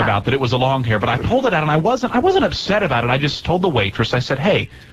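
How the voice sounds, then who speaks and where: Talking at a very fast pace, a man has fairly high pitch, very wide pitch swings and very even loudness. Noticeable background noise sits behind him. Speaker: radio show hosts. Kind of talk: casual radio banter. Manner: conversational, joking.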